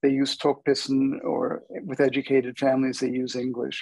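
A man talks at a fairly high pitch. The sound is dry with no echo, over a quiet background. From United States. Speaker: linguist, adjunct professor; guest. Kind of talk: panel discussion. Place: home room. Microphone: earbuds.

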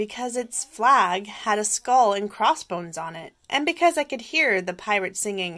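Lively intonation throughout, reading aloud in a natural voice

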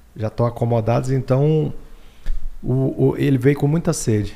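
Somewhat breathy and dark, mellow in tone, a man speaks at a fairly slow pace with long, frequent pauses. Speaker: podcast host. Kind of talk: interview. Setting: studio. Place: studio. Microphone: studio mic.

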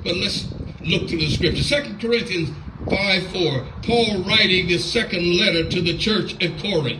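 In a room with audible echo, a man with a fairly high pitch and a bright, sharp tone speaks at a moderate pace with ordinary pitch variation.

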